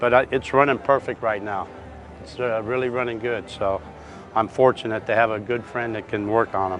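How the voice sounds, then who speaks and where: Music plays behind a man speaking at a moderate pace and a medium pitch. His intonation is monotone and flat, while his loudness swings widely. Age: 60s. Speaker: classic car owner. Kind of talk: interview. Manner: halting.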